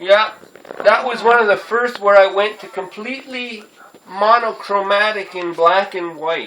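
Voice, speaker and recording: The voice is loud and moves at a fairly slow pace. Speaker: artist, painter. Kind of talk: casual talk explaining art. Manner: loud, over-articulated.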